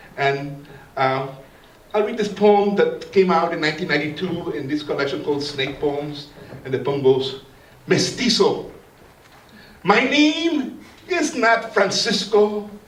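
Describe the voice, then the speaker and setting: Speaking at a fairly slow pace with long, frequent pauses, a man uses a high pitch and very wide pitch swings, while audible room echo and noticeable background noise fill the recording. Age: 60s. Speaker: poet. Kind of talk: poetry reading; ceremonial talk. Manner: halting.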